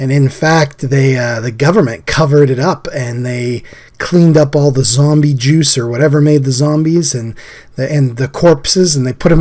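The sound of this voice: At a moderate pace and medium pitch, a man speaks with a slightly mellow tone and ordinary pitch variation.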